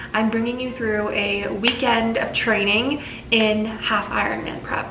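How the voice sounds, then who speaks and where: A woman's fairly high-pitched voice with audible room echo and music in the background. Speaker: fitness vlogger. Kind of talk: casual vlog talk to camera. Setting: outdoors on a run. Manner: whispering.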